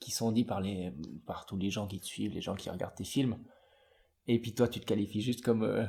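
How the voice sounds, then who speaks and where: A man with a fairly low pitch and a dark, mellow, somewhat breathy tone talks at a fairly quick pace with fairly even intonation and long, frequent pauses. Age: 20s. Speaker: podcast host. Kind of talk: interview conversation.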